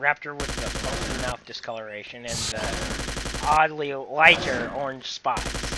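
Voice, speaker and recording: Background noise is noticeable as a man talks at a fairly slow pace with hardly any pauses. His intonation is fairly even, but his loudness swings a lot. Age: 20s. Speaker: gaming commentator. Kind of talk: recorded gameplay commentary. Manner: casual, halting. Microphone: laptop recording.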